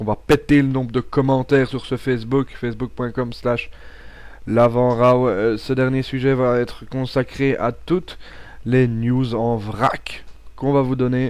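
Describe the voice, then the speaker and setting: With a Belgian accent, a man talks at a fairly slow pace. His pitch is medium. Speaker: wrestling podcast host. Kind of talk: pre-recorded audio show monologue. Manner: hesitant, with fillers and repetitions.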